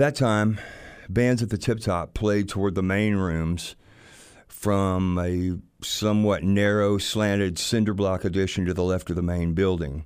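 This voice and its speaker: This man has a Southern US accent and a fairly low pitch, speaking at a fairly slow pace with fairly even intonation. His loudness stays very even, and the recording is very clean with a silent background. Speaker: music producer and musician. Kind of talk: storytelling.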